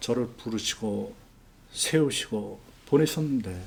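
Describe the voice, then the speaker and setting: Somewhat breathy speech at a very slow pace, with audible room echo. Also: man. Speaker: missionary pastor. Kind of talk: testimony sermon.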